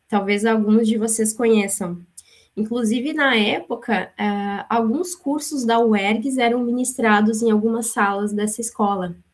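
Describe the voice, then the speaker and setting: A somewhat breathy woman's voice, fairly high in pitch, at a fairly slow pace, with very even loudness and ordinary pitch variation. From Rio Grande do Sul, Brazil (born in São Paulo, moved as small child). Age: 30s. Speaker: business manager, guest lecturer. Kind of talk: lecture.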